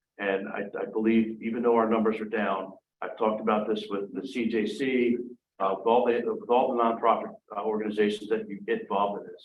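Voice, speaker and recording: A man talks at a fairly quick pace in a monotone, flat delivery. Room echo can be heard around his voice. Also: medium pitch for a man. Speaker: police chief. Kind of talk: council meeting report. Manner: fast; halting, many fillers.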